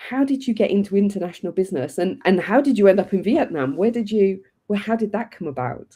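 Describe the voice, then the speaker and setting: A dark, mellow tone at a fairly quick pace, with lively intonation. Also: woman. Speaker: podcast host. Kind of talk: interview. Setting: live online stream.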